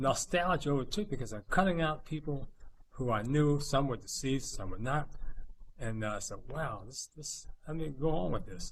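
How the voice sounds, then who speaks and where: A man's fairly high, somewhat breathy voice in an American accent, with lively intonation. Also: moderate pace. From New Jersey, Princeton. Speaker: community photographer. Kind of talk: personal testimony. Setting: video call.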